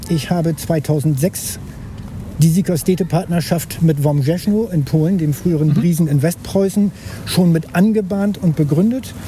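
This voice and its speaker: Against noticeable background noise, the speech moves at a fairly slow pace with very even loudness. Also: man, high pitch for a man, ordinary pitch variation. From northern Germany, Bremen-Nord. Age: 60s. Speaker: local politician. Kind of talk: casual chat. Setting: outdoors.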